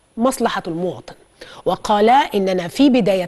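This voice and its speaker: Speaking fairly slowly, a woman lets her pitch swing very widely. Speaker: TV news anchor. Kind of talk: news presentation. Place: studio. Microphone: lapel.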